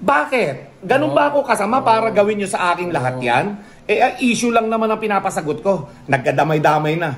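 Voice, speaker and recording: Loud and angry, a man with a high voice talks at a fairly quick pace with very wide pitch swings over noticeable background noise. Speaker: pigeon racing vlogger. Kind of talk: heated rant. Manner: sounds angry, forceful.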